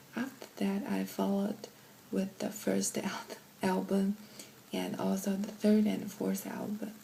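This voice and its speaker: There is noticeable background noise as a woman speaks. Her pace is fairly slow, with long, frequent pauses. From China. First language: Chinese. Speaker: K-pop fan. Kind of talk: interview answers.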